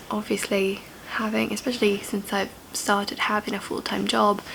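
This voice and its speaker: A woman speaks over noticeable background noise. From Italy. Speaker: journalist and producer. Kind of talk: casual vlog talk to camera.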